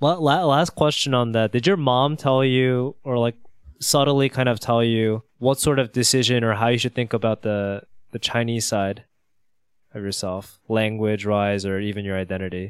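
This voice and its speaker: A man talks at a moderate pace at medium pitch, with ordinary pitch variation and an American accent. It's a plain, everyday voice in a very clean recording with a silent background. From United States. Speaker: podcast host. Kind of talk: casual chat; scripted narration.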